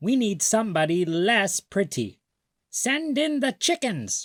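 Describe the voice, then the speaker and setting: In a put-on character voice, a man speaks at a high pitch and a fairly slow pace on a very clean recording with a silent background. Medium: read story.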